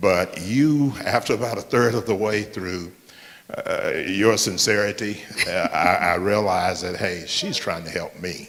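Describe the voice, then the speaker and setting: Over noticeable background noise, a man with a fairly low pitch speaks at a fairly slow pace with ordinary pitch variation. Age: 60s. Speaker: church member. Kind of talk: audience comment. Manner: halting.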